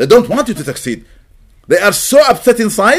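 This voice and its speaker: A man talks at a moderate pace. His pitch moves in very wide swings. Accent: Arabic. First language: Arabic. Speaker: imam. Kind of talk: religious lecture. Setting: mosque gathering.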